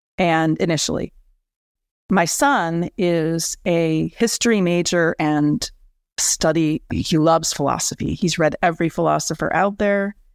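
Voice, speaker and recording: In an ordinary speaking voice, a woman talks at a fairly slow pace with ordinary pitch variation and very even loudness, recorded dry and close with no echo on a very clean recording with a silent background. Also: fairly low pitch for a woman. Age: 60s. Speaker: author. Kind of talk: interview.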